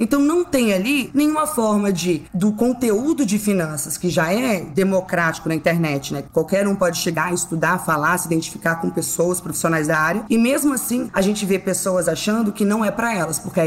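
A woman talks at a moderate pace, with lively intonation and hardly any pauses. Noticeable background noise is present. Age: 20s. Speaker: financial consultant. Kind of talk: casual interview.

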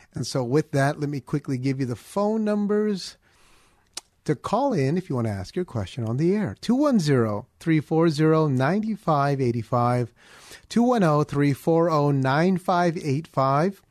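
Dry and close with no echo over a quiet background, a man's fairly high voice swings very widely in pitch. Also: moderate pace. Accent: American. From US, Filipino family. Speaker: pastor, fill-in radio host. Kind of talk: call-in radio Bible Q&A. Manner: halting, repeats words.

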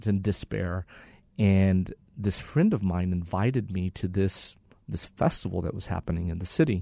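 Against a quiet background, a man with a very deep, low pitch and a dark, mellow tone speaks at a moderate pace with ordinary pitch variation. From Mexico and Texas. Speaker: ministry leader. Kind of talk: interview. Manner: halting.

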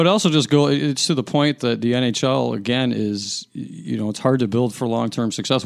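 A man with an American accent and a plain, everyday voice speaks at a fairly quick pace in a medium pitch with ordinary pitch variation, on a very clean recording with a silent background. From Chicago, US Midwest. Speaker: sports journalist. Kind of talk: casual chat.

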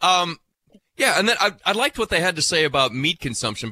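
On a very clean recording with a silent background and a dry, close sound with no echo, a man speaks with lively intonation. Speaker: farm radio host. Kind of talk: casual radio talk and interviews. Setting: radio studio. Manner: animated.

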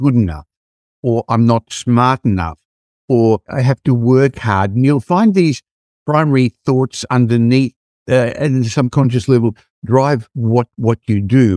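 The man's dark, mellow tone comes across in a dry, close sound with no echo. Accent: Australian. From Australia. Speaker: property investment advisor. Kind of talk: casual chat.

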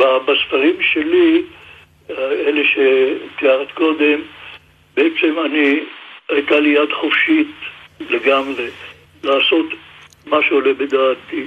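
A man talks at a very slow pace, with long, frequent pauses. Noticeable background noise runs underneath. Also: very even loudness. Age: 90s. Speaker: book designer. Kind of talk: radio interview. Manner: halting, many filler sounds.

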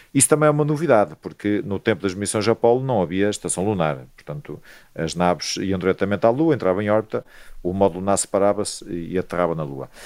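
A man with a fairly low pitch speaks at a very fast pace with lively intonation, recorded very cleanly against a silent background. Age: 50s. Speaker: astronomer. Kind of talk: interview.

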